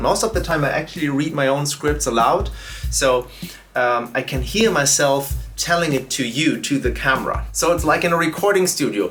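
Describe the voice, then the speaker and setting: A man talks at a moderate pace with a German accent. Noticeable background noise sits behind him. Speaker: YouTuber and drum educator. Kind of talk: casual vlog narration. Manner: hesitant with fillers.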